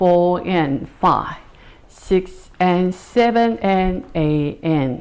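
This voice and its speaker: The intonation is lively as a woman speaks. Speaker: line dance instructor. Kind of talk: tutorial. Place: empty room.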